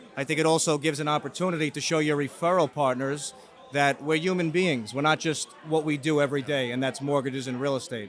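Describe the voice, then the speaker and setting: A man rattles along at a very fast pace, his intonation fairly even, while noticeable background noise carries on behind him. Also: fairly high pitch for a man. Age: 30s. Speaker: mortgage broker and interview host. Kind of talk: casual interview. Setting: real estate expo.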